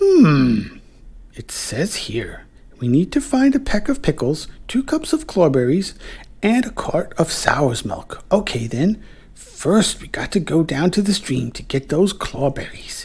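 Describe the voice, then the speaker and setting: Someone uses a put-on character voice at a middle pitch, speaking at a fairly slow pace. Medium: audio drama.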